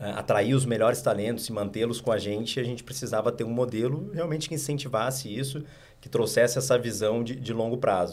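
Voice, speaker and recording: A man with a southern Brazilian accent speaks at a moderate pace and medium pitch, with audible room echo. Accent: southern Brazilian (gaúcho) Portuguese. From Rio Grande do Sul, Porto Alegre. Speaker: investment firm co-founder. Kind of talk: interview.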